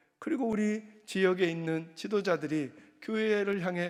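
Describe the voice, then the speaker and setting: A man with a high-pitched voice speaks at a fairly slow pace, his intonation lively. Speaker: senior pastor. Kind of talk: sermon. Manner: unscripted, without notes.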